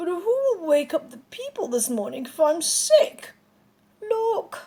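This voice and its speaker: A put-on character voice with very wide pitch swings at a fairly slow pace. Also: woman, extremely high pitch for a woman. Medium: read story.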